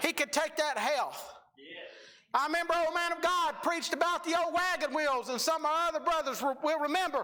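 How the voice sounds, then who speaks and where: The voice is loud and moves at a fairly quick pace. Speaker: preacher. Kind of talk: sermon.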